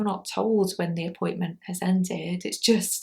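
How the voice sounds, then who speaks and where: On a very clean recording with a silent background, a woman with a medium pitch sounds somewhat breathy and keeps her intonation fairly even. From UK, Scottish parents. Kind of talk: vlog monologue. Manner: slow; clear enunciation.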